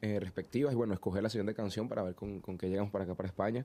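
With fairly even intonation, a man speaks at a fairly low pitch in a dark, mellow tone. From Venezuela. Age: 20s. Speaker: singer. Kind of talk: interview.

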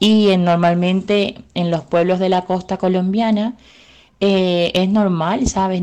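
A woman's dark, mellow, fairly low voice, very slow and monotone with flat intonation, over a quiet background. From Colombia, Caribbean coast. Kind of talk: interview testimony. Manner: halting.

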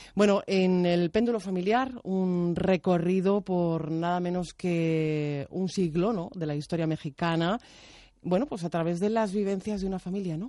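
Against a quiet background, a woman with a medium pitch and a dark, mellow tone speaks at a fairly slow pace with ordinary pitch variation. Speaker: radio host. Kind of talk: radio interview. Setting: radio studio.

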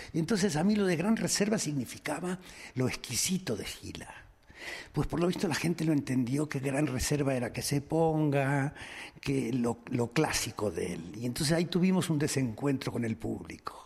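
Vocal fry can be heard in this voice. Its intonation is lively. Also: man, fairly high pitch for a man, moderate pace. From Argentina. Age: 70s. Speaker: comedian. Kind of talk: interview.

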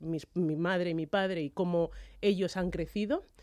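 The background is silent on this very clean recording. A woman talks. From Madrid, Spain. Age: 30s. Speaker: athlete. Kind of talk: radio interview. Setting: radio studio. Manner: halting, frequent repetitions.

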